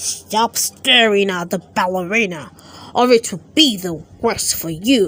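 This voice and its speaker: Growling in a put-on character voice, a woman speaks at medium pitch and a moderate pace. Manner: snarling, menacing.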